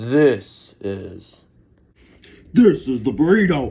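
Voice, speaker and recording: A man puts on a character voice, pitched in the medium range and delivered very slowly. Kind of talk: comic overacting. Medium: comedy sketch. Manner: brash, slangy.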